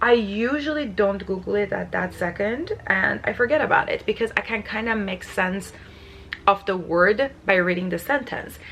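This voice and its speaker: A woman with a non-native accent at a medium pitch and moderate pace, with ordinary pitch variation and noticeable background noise. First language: not English. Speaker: lifestyle vlogger. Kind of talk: casual vlog talk to camera. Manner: many filler words.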